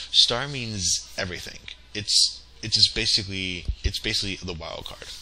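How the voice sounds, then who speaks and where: With noticeable background noise behind him, a man talks at a moderate pace. His pitch is fairly low. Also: ordinary pitch variation. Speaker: tech tutorial instructor. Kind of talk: tutorial. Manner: halting, many fillers; casual.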